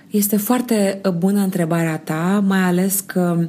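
Woman's dark, mellow voice with fairly even intonation at a fairly slow pace. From Romania, Slobozia, Ialomița. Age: 30s. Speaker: sociologist and non-verbal communication expert. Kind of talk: interview.

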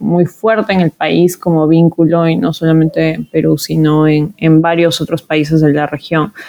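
Her pitch sits fairly low, and the woman, with an ordinary speaking voice, keeps a moderate pace. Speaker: podcast host, social researcher and activist. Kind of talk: interview conversation.

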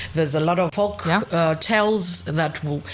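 There is noticeable background noise as a woman speaks with a fairly low pitch and ordinary pitch variation. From Zambia and Zimbabwe, raised partly in Greece. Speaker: podcast co-host. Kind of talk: casual chat.

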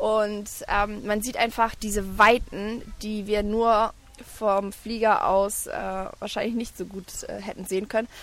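Her bright, sharp tone at a fairly high pitch, this woman speaks at a fairly slow pace with big swings in loudness. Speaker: travelling mother and blogger. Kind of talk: casual interview. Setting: outdoors on a park bench at a playground.

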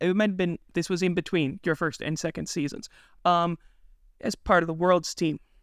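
Spoken at a moderate pace, the voice sounds dry and close with no echo, on a very clean recording over a silent background. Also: man. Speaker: podcast host. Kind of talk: interview.

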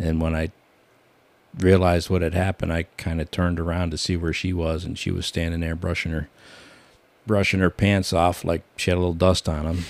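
With an American accent, a man speaks fairly quickly in a very deep, low, flat monotone. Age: 60s. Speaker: retired prison worker. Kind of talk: casual chat.

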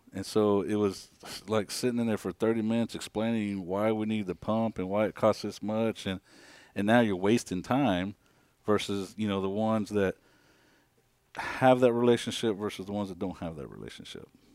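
A man with a plain, everyday voice, fairly low in pitch, with fairly even intonation at a moderate pace, in a very clean recording with a silent background. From Kansas, US Midwest; Mexican immigrant family. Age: 40s. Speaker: building chief engineer. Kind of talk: casual interview.

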